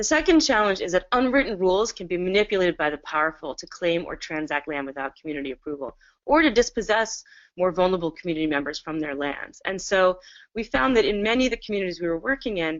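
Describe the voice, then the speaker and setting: The pitch swings very widely. The pace is very fast. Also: woman, medium pitch for a woman. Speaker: webinar presenter, land rights practitioner. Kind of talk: webinar presentation. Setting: video call from home.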